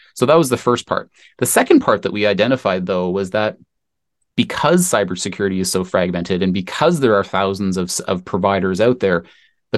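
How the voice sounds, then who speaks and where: A man with a Canadian accent at a fairly quick pace, with ordinary pitch variation, in a very clean recording with a silent background. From Canada. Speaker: tech entrepreneur. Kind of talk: interview.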